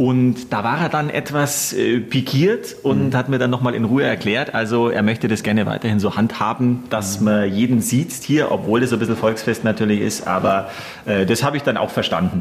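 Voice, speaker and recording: Fairly quick speech with hardly any pauses, very even loudness and ordinary pitch variation over noticeable background noise. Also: man, medium pitch for a man. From Upper Bavaria (Gilching near Munich). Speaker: radio host. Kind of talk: casual chat.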